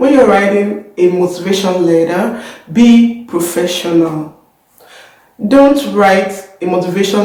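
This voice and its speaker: A woman talks at a fairly slow pace with a medium pitch, ordinary pitch variation and very even loudness. Room echo is audible. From Nigeria. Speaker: YouTuber, scholarship student. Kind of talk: tutorial. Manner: hesitant, many fillers.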